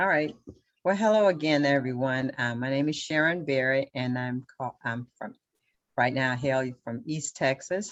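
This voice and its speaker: Pitched very deep and low, a woman talks with ordinary pitch variation. Her pace is moderate. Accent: Southern US. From Louisiana. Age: 60s. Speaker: local party official, military veteran. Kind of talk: panel discussion.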